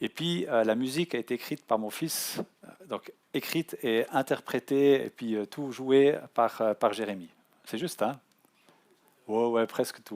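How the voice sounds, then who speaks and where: The speech moves at a fairly slow pace, with ordinary pitch variation and big swings in loudness. The sound is dry and close with no echo, on a very clean recording with a silent background. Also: man, medium pitch for a man. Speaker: offshore sailor giving a talk. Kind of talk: public talk. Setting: conference hall with audience. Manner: halting, many hesitations.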